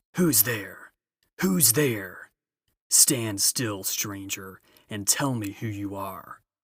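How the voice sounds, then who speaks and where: A growling, put-on character voice comes at a very slow pace in a very clean recording with a silent background. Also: man, fairly low pitch for a man. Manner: menacing.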